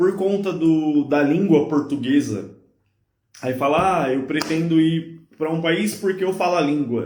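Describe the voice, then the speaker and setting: A man's ordinary speaking voice, fairly high in pitch, with ordinary pitch variation and a fairly slow pace. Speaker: podcast host. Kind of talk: casual chat. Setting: live stream.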